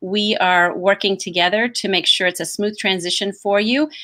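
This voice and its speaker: A bright, sharp tone with a slight Southern US accent and ordinary pitch variation. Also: woman, very clean recording, silent background. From US South. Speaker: assistant principal. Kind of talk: orientation presentation. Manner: hesitant, many fillers.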